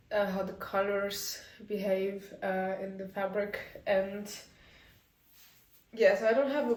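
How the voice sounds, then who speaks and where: There is audible room echo and noticeable background noise as a woman with a medium-pitched voice speaks at a very slow pace. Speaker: knitting designer vlogger. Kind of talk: casual vlog. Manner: hesitant, many fillers.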